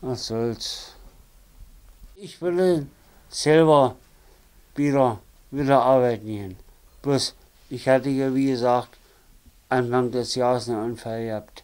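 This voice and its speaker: At a very slow pace with long, frequent pauses, a man talks at medium pitch, his loudness swinging widely while his pitch varies an ordinary amount. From Saxony-Anhalt, Dessau. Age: 50s. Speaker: former railway worker, interviewee. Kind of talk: life story interview. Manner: halting, many fillers. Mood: resigned, plain-spoken. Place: home room.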